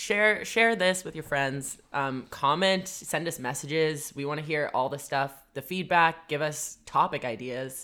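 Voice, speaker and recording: On a very clean recording with a silent background, a woman with a very deep, low pitch and a bright, sharp tone speaks at a fairly slow pace with ordinary pitch variation and hardly any pauses. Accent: Canadian. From Vancouver, Canada. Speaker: podcast co-host. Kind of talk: casual chat. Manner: laughs often.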